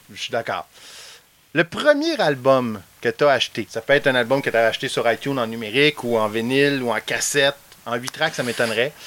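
With a Quebec accent, a man speaks fairly quickly at medium pitch with fairly even intonation. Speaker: podcast host. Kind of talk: casual interview. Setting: outdoors at home.

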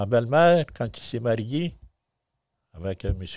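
The man speaks at a very slow pace. The sound is dry and close with no echo, over a quiet background. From Quebec, Abitibi. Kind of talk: interview.

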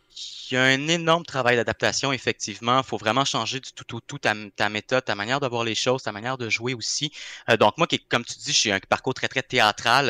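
Recorded very cleanly against a silent background in a dry, close sound with no echo, a man with a bright, sharp tone and medium pitch talks at a fairly quick pace, with ordinary pitch variation and big swings in loudness. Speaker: actor. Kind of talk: casual chat.

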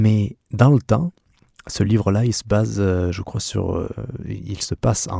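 A man's fairly low voice, dry and close with no echo. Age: 30s. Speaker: podcast host, van-life traveller. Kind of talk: solo podcast monologue. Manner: halting, with fillers and repetitions.

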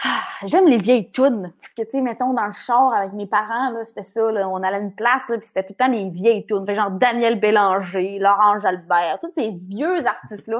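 With a Quebec accent, a woman speaks at a fairly high pitch and moderate pace, with hardly any pauses, big swings in loudness and ordinary pitch variation. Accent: noticeable regional Quebec. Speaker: radio host and coach. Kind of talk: casual interview chat. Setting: video call with earphones.

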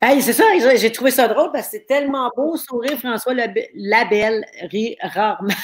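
High in pitch, a woman speaks in an animated tone. Her pace is moderate and her pitch variation ordinary. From Quebec, Thetford Mines area. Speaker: livestream talk show host. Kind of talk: casual interview. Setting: live stream at home.

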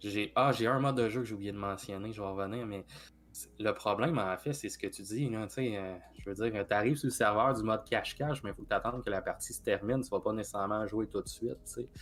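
Fairly quick speech in a Quebec accent, with ordinary pitch variation. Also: man, fairly low pitch for a man. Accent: Québécois French. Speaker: gaming podcast co-host and game reviewer. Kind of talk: casual chat. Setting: live stream.

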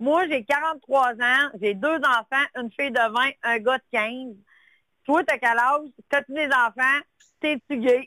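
Speaking at a very slow pace, a woman uses a high pitch and fairly even intonation. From Quebec, Lac-Saint-Jean. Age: 40s. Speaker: caller. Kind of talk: call-in chat. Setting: phone call.

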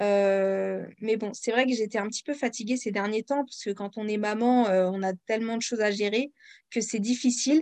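In a plain, everyday voice, a woman with a fairly high pitch talks at a moderate pace with fairly even intonation, the sound dry and close with no echo. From France. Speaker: independent author and audiobook narrator. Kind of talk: interview.

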